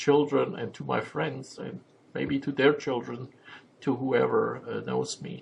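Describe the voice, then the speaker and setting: A man talks with a German accent. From Germany. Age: 50s. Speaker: vlogger and memoir writer. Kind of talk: personal vlog monologue. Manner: halting, many filler sounds.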